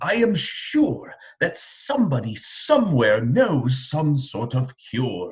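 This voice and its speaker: Putting on a character voice, a man of medium pitch delivers his lines at a fairly slow pace. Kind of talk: bedtime story. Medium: read story.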